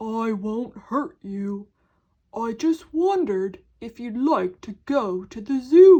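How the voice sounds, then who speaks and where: Putting on a character voice, a woman speaks very slowly at a fairly high pitch. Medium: read story. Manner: gentle, reassuring.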